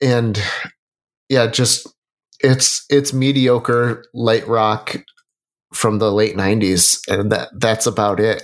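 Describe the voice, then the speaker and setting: A man's unremarkable speaking voice, fairly low and fairly even in intonation, at a fairly slow pace in a very clean recording with a silent background. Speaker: music podcast co-host. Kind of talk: casual chat.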